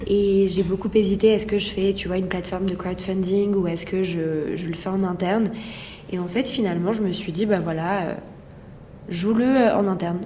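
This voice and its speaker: Against noticeable background noise and audible room echo, a woman speaks at a medium pitch with fairly even intonation. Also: moderate pace. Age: 20s. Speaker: entrepreneur. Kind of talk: interview. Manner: halting.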